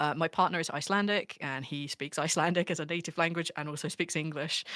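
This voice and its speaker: On a very clean recording with a silent background, a woman speaks at a very fast pace in a fairly low pitch with a bright, sharp tone. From southern England. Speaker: actual play podcast game master. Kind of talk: casual chat. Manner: naturally fast.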